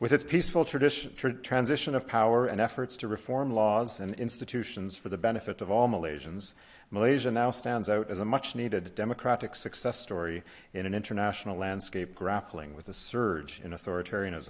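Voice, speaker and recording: This man speaks at a fairly quick pace with a fairly low pitch. His intonation is lively. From Canada. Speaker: diplomat. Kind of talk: formal welcome speech. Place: hall. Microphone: podium.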